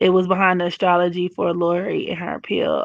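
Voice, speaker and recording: Against a quiet background, a woman speaks at a moderate speed. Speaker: astrology livestreamer. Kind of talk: live stream chat reading comments. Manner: casual, animated.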